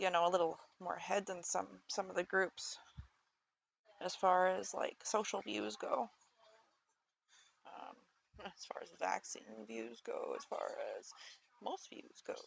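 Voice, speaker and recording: Mumbling with long, frequent pauses, a woman speaks in big swings of loudness. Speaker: streamer. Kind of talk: casual chat. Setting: live stream. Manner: halting.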